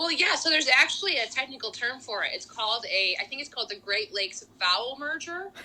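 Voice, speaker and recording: Projecting a raised, high voice in a Rochester accent, a woman races along very fast with hardly any pauses and very wide pitch swings over noticeable background noise. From western New York (Rochester area). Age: 20s. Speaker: singer and speech pathology student. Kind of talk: casual chat.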